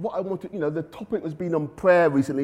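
This man has a high-pitched voice with ordinary pitch variation. He talks at a fairly quick pace. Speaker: preacher. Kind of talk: sermon.

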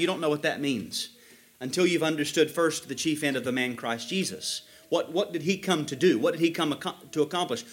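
Moving at a fairly quick pace, a man uses a plain, everyday voice with lively intonation. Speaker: preacher. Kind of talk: sermon. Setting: church.

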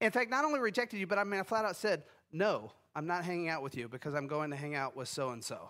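This man speaks at a very fast pace, his high pitch making very wide swings. His tone is bright and sharp, and the recording is very clean with a silent background. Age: 50s. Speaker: pastor. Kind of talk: sermon.

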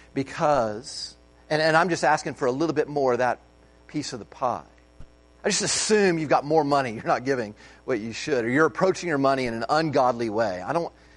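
Against a quiet background, a man with an American accent talks at a fairly quick pace and a fairly high pitch. He has a plain, everyday voice with ordinary pitch variation. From United States. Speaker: pastor. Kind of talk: sermon.

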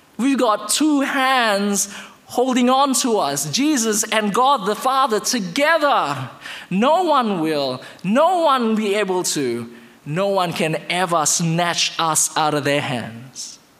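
Against noticeable background noise, a man speaks at a high pitch. His pace is very slow, and his pitch swings very widely. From Indonesia. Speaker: guest preacher. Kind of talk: sermon. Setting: church.

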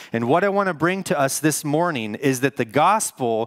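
In a normal speaking voice, a man talks with lively intonation and a fairly high pitch. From US Northwest. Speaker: pastor. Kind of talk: sermon. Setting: church.

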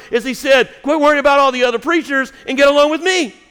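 A man with an extremely high pitch and fairly even intonation speaks at a very fast pace. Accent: Southern US. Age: 50s. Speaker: pastor. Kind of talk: sermon. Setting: church.

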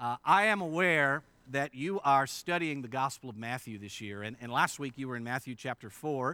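An American-accented man with a normal speaking voice talks at a moderate pace, his intonation lively and his loudness swinging widely. The recording is very clean, dry and close with no echo, over a silent background. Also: medium pitch for a man. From western Pennsylvania, Indiana PA. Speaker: pastor. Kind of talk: sermon. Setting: church.

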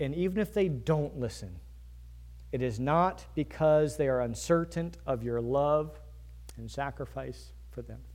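Big swings in loudness and audible room echo mark this recording of a man with an American accent. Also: fairly slow pace. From Virginia. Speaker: pastor. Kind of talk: sermon.

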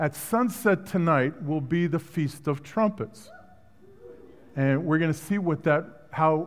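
A man with a slight Brooklyn accent, fairly high in pitch, fairly slow in pace, and lively in intonation. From Brooklyn, New York. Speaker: guest preacher. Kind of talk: sermon. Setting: church.

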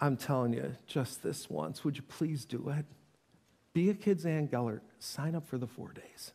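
This man's fairly high voice has a dark, mellow tone, a somewhat breathy quality and ordinary pitch variation. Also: moderate pace. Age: 50s. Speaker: pastor. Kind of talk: sermon. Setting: church.

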